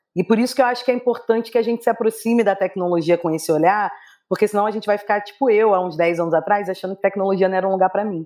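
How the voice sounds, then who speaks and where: A woman's medium-pitched, dark and mellow voice at a very fast pace, with ordinary pitch variation and a quiet background. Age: 30s. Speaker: nonprofit executive director and researcher. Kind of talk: interview.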